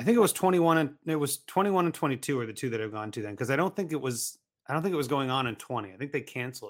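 In a very clean recording with a silent background, a man with an American accent talks very fast at a fairly high pitch, with lively intonation and big swings in loudness. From Ohio, US. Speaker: fantasy football podcaster and writer. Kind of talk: casual chat.

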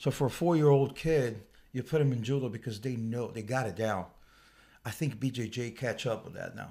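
Over a very clean recording with a silent background, a man speaks at medium pitch, somewhat breathy, with ordinary pitch variation. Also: fairly quick pace. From Brazil, Rio de Janeiro South Zone. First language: Portuguese. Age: old. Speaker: martial arts coach. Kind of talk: casual interview. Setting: studio.

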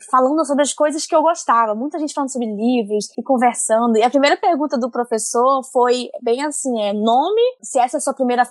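A high-pitched woman at a fairly quick pace with ordinary pitch variation and hardly any pauses. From Amazonas, northern Brazil. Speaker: comics editor and colorist. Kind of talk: casual chat.

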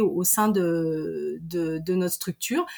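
A woman with a medium-pitched voice and ordinary pitch movement talks while background noise is clearly audible. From Savoie, French Alps. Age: 40s. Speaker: deputy director of a mountain tourism network. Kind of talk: interview. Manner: halting, many repetitions and fillers.

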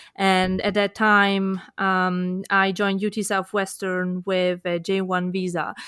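On a very clean recording with a silent background, a woman with an Italian accent and medium pitch speaks very slowly in a flat monotone, with hardly any pauses. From Italy. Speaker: kidney researcher, nonprofit director. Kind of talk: panel discussion. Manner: halting.

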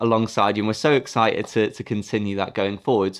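A man is speaking. He goes at a very fast pace. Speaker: podcast host and company CEO. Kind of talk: interview, conversational.

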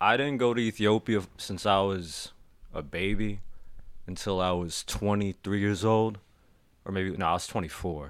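This man has a normal speaking voice with an American accent and fairly low pitch. He speaks at a fairly slow pace with ordinary pitch variation. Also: very clean recording, silent background. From Washington DC. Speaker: podcast guest, friend of host. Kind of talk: casual chat.

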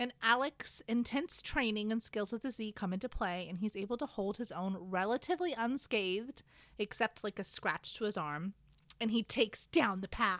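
A woman with a normal speaking voice talks at a moderate pace in an American accent. Her pitch is fairly high and her intonation is lively. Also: very clean recording, silent background. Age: 30s. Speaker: podcast co-host. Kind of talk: casual chat with book recap.

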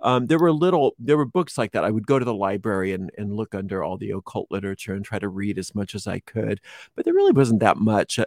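Speaking very fast with hardly any pauses, a man uses a fairly low voice and lively intonation. The sound is dry and close with no echo, on a very clean recording with a silent background. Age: 50s. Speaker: witchcraft teacher and tarot reader. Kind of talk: interview.

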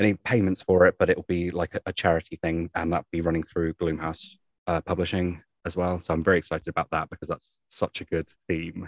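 A man's very deep, low voice with a southern English accent, fairly quick and monotone, with flat intonation, in a dry, close sound with no echo. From southern England. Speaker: podcast co-host. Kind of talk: casual chat. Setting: remote recording.

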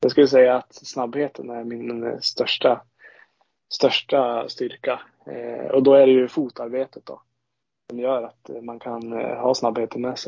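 The speaker talks at a fairly slow pace. Loudness swings widely from moment to moment. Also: man. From Sweden, Ångermanland (Bollstabruk). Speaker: ice hockey goaltender. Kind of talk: podcast interview.

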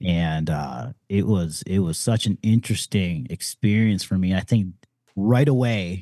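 With an American accent, a man talks fairly slowly in a very deep, low voice with a dark, mellow tone, ordinary pitch variation, and a dry, close sound with no echo. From Detroit, US Midwest. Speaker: marketer and entrepreneur. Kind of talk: casual interview chat.

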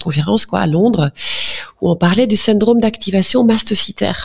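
This woman's speech has ordinary pitch variation and a moderate pace. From Flanders, Belgium. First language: Dutch (speaking French). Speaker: general practitioner. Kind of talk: interview.

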